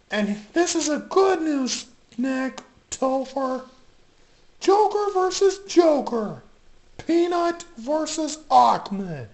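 A high voice at a very slow pace, with long, frequent pauses. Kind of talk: comic toy parody show. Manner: upbeat, announcing.

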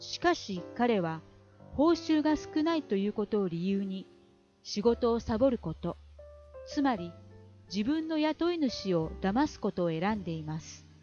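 Music plays in the background as a woman at a medium pitch speaks with very wide pitch swings. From Kansai, Japan. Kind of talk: audiobook reading of a self-help book.

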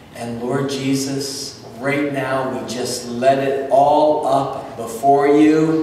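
Strong room echo surrounds the voice. Light background noise can be heard. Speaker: pastor. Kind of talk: fervent congregational prayer. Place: church. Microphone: camera far.

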